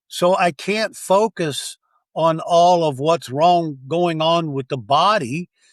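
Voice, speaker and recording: Recorded very cleanly against a silent background, a man with a high-pitched voice speaks at a very slow pace with ordinary pitch variation, the sound dry and close with no echo. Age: 70s. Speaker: astrologer and hypnotherapist. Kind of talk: interview.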